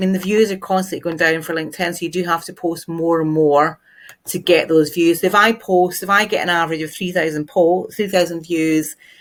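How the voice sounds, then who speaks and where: The speaker has a Glaswegian accent and a moderate pace. The recording is very clean, with a silent background. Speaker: LinkedIn marketing trainer. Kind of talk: tutorial. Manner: casual, conversational.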